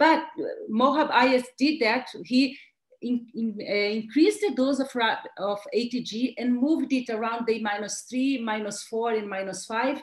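A woman with a Brazilian accent talks at a fairly slow pace in a high voice with ordinary pitch variation, against a quiet background. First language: Portuguese. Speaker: pediatric transplant physician and professor; medical professor presenting. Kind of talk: lecture. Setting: webinar. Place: home room.

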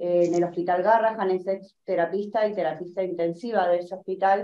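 At a moderate pace, a woman speaks with monotone, flat intonation. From Argentina. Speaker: host introducing a speaker. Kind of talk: panel discussion. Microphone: webcam.

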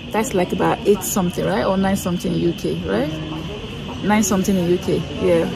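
Music plays in the background. Over it, a woman speaks. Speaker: travel vlogger. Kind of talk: casual vlog chat. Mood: relaxed, cheerful. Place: street. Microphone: phone near.

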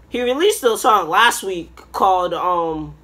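A man's raised, projected voice, bright and sharp, with lively intonation. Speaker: reaction video host. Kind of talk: casual reaction vlog chat. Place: home room. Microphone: webcam.

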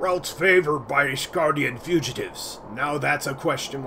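A man performs a put-on character voice at fairly high pitch. He talks at a moderate pace over clear background noise. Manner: putting on a pirate voice, then retrying the line normally.

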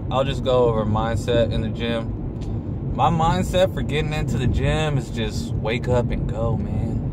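A man's voice with a dry sound and no echo sits against loud background noise. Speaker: fitness vlogger. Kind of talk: casual vlog chat. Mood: relaxed, opinionated. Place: car. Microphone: phone near.

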